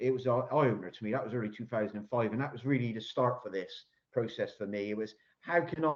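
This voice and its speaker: A man's medium-pitched voice in a Bristolian accent, very fast pace and ordinary pitch variation. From Bristol, South West England. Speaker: construction innovation consultant. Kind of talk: Q&A answer at online business pitch event. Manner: hesitant, many repetitions and fillers.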